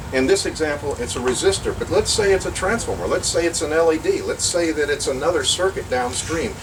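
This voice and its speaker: Fairly quick speech amid noticeable background noise and audible room echo. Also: man. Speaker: workshop presenter on vacuum tubes. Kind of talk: lecture. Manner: fast.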